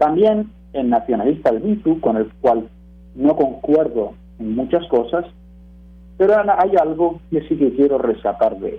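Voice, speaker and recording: A man with a fairly high voice talks at a fairly slow pace, his pitch swinging very widely between long, frequent pauses. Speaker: radio commentator, teacher. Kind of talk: prepared radio talk.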